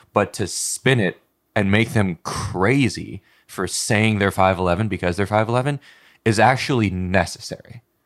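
An ordinary speaking voice with ordinary pitch variation on a very clean recording with a silent background. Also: man. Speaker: podcast co-host, comedian. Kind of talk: casual chat.

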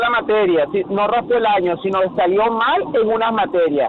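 With noticeable noise in the background, a high-voiced man talks at a moderate speed, his pitch varying in an ordinary way. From Venezuela. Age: 40s. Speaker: caller. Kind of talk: call-in discussion.

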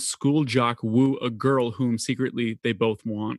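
A man speaks at a fairly slow pace in a plain, everyday voice of medium pitch, with a quiet background and a dry, close sound with no echo. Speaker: podcast host. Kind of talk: casual chat.

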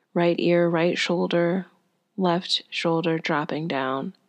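Using a normal speaking voice, a woman talks at a fairly slow pace and a fairly low pitch, with ordinary pitch variation. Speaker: yoga instructor. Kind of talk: guided chair yoga class. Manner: calm, slow, soothing instruction; gentle, encouraging, unhurried cueing.

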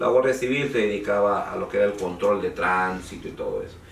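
A man talks fairly quickly, and room echo can be heard around his voice. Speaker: lawyer. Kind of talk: interview. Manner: halting.

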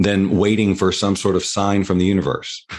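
This is a man speaking. His pitch is fairly low. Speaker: personal development coach. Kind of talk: interview.

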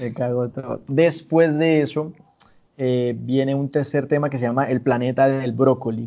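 The speaker has an unremarkable speaking voice. The delivery is fairly slow, with fairly even intonation. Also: man, medium pitch for a man. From Colombia, Santander (San Gil, Barrancabermeja, Bucaramanga). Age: 20s. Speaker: musician. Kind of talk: interview.

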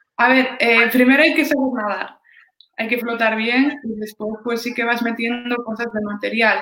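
Using a plain, everyday voice, a woman talks at a moderate pace with fairly high pitch and fairly even intonation. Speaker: lifesaving athlete. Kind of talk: interview.

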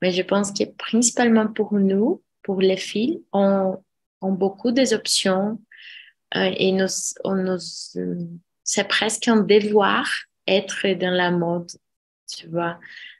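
A woman speaks very slowly at a medium pitch, leaving long, frequent pauses. Her intonation is fairly even. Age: 30s. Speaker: architect. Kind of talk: casual discussion. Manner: halting.

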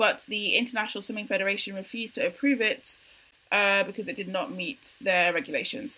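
A woman speaks at a moderate pace with a London accent. Her voice is fairly high and bright and sharp in tone, with ordinary pitch variation. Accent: British (London). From UK. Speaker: podcast co-host. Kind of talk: casual chat.

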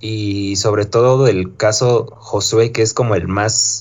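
The man's voice is somewhat breathy and fairly low in pitch. His intonation is fairly even. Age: 20s. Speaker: podcast host. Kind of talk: casual chat.

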